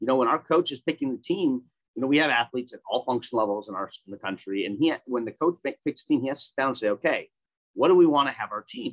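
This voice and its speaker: A man with an American accent, very fast pace and lively intonation. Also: medium pitch for a man. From US Midwest, Minneapolis, Minnesota. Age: 30s. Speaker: Paralympic athlete. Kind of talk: casual interview.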